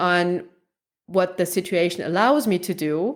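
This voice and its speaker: Speaking in a German accent, a woman uses a medium pitch and ordinary pitch variation at a fairly slow pace. The recording is very clean with a silent background. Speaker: research psychologist. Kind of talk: interview conversation.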